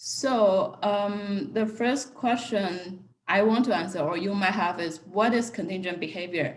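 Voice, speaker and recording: Against audible room echo, a somewhat breathy woman speaks at a fairly slow pace in a medium pitch, with ordinary pitch variation. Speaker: economics researcher. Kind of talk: academic seminar talk.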